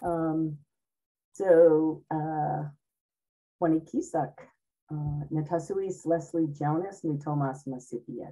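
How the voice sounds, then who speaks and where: With an American accent, a woman speaks very deep and low in a dark, mellow tone, very slowly, with fairly even intonation and long, frequent pauses. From Cape Cod, Massachusetts; Massachusetts. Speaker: speaker. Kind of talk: presentation talk. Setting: video call. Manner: slower than usual. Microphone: video call.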